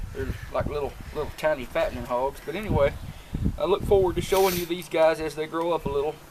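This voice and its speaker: A man shouts loudly at a fairly quick pace, his pitch high, with a Southern US accent. Noticeable background noise runs underneath. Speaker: homesteader. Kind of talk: casual video tour. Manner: loud, yelling for camera.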